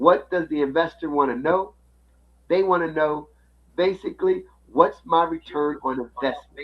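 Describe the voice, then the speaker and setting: At a moderate pace, a man talks in a plain, everyday voice that sits fairly high in pitch. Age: 60s. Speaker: finance podcast co-host. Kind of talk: casual chat.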